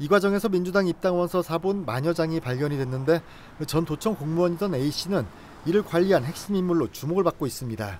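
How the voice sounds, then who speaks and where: A man with a high pitch talks at a fairly quick pace, using ordinary pitch variation. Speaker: news reporter. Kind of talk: TV news report.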